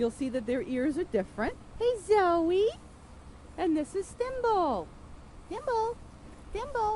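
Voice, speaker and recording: Against noticeable background noise, a speaker with an American accent moves at a very slow pace through very wide pitch swings. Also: woman. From New York State, USA. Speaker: ESL teacher. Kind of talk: casual narrated farm tour. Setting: outdoors. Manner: relaxed, hesitant.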